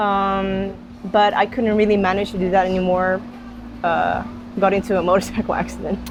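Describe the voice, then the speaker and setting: Music plays in the background as a woman with a medium-pitched voice talks fairly quickly in a monotone, flat way, broken by long, frequent pauses. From Netherlands. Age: 20s. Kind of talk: interview.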